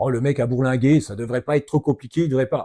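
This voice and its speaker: With a dark, mellow tone, a man talks at a very fast pace in a dry, close sound with no echo. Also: very clean recording, silent background. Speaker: ultra-trail runner, adventurer. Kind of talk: podcast conversation.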